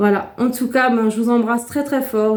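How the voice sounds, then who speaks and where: A woman speaks in a high pitch with a monotone, flat intonation. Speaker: YouTuber. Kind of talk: casual vlog chat. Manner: hesitant, many fillers.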